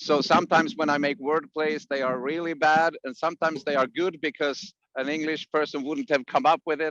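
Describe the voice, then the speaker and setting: With a Swedish accent, a man speaks at a fairly quick pace with hardly any pauses, his pitch fairly high. His intonation is fairly even, and the sound is dry and close with no echo. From Sweden, Piteå in the north. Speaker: musician and songwriting teacher. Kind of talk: interview.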